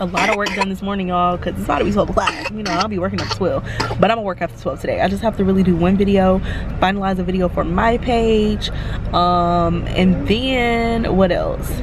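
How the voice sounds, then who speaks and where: A woman talking at a fairly quick pace amid noticeable background noise. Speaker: vlogger. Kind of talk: casual vlog chat. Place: car. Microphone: phone near.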